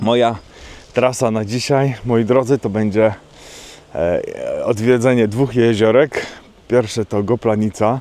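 With fairly even intonation and a fairly slow pace, a man speaks at a fairly low pitch in a dry sound with no echo. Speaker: nature photographer vlogger. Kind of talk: casual vlog chat. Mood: cheerful, relaxed. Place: open country. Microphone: phone near.

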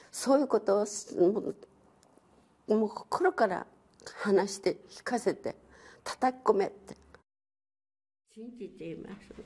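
Somewhat breathy and fairly high-pitched, a woman speaks at a fairly slow pace with lively intonation, big swings in loudness and long, frequent pauses. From Nagasaki Prefecture, Japan. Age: 80s+. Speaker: atomic bomb survivor. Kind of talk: personal testimony. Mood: grave, emotional.

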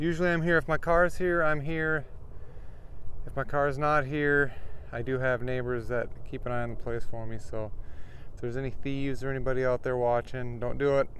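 Fairly quick, fairly even speech in a dry sound with no echo, over light background noise. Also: man. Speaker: RV dweller vlogger. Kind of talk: casual vlog chat. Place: open country. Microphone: phone near.

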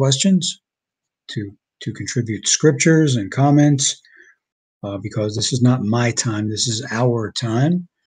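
In a quiet background, a man speaks at a fairly slow pace in a somewhat breathy voice with ordinary pitch variation. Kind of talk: sermon. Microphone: video call.

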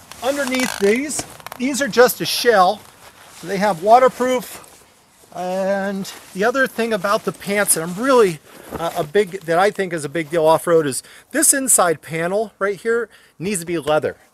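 Moderately paced, a man with a high pitch speaks with lively intonation in a dry sound with no echo. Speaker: motorcycle rider reviewing gear. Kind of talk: tutorial. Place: open country. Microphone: phone near.

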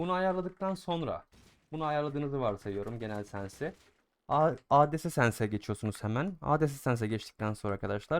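Using an unremarkable speaking voice, a man talks at a moderate pace with a fairly high pitch and lively intonation. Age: 20s. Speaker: gaming YouTuber and streamer. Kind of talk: gaming tutorial. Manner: casual, filler-heavy.

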